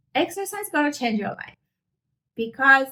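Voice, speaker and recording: With a non-native accent, a woman speaks in a bright, sharp tone. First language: not English. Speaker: fitness youtuber. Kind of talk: casual heart-to-heart vlog talk. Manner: unscripted, conversational.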